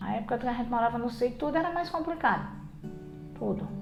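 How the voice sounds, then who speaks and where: Audible room echo colors this recording. The speaker is a woman. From rural Paulista, Paraíba, Brazil. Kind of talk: documentary interview.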